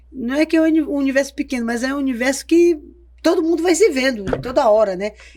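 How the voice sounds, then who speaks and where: Over noticeable background noise, a woman talks at a very fast pace, her high pitch carried by lively intonation. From Porto Velho, Rondônia, Brazil. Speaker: cultural producer and activist. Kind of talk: podcast interview. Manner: halting, many fillers.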